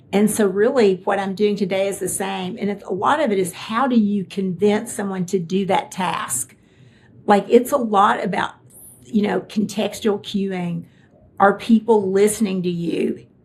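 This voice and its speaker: In a Kentucky accent, a woman speaks somewhat breathily at a moderate pace and medium pitch, with ordinary pitch variation. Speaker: tech executive. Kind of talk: interview conversation.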